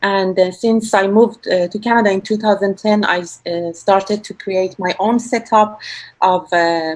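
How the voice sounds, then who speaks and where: Speaking in a Persian accent, a woman keeps a medium pitch, a moderate pace and fairly even intonation. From Iran. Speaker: percussionist. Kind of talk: self-introduction on video panel. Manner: hesitant, many fillers.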